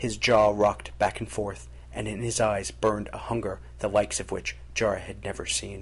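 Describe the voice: What you hear is plain reading aloud.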